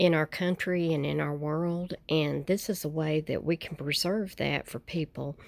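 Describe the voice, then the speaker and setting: On a very clean recording with a silent background, a woman with a very deep, low pitch speaks at a fairly slow pace and with fairly even intonation. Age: 60s. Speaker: estate liquidator and online reseller. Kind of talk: casual vlog. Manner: hesitant, many fillers. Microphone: new mic.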